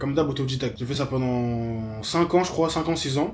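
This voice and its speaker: A man with a fairly high pitch is heard over noticeable background noise. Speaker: graphic designer and web developer. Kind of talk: vlog monologue. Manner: fast; mumbling.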